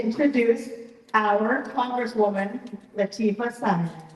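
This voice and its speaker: A woman talks at a fairly high pitch with ordinary pitch variation. Noticeable background noise can be heard. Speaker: staff moderator at town hall. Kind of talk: event moderation. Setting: town hall with audience.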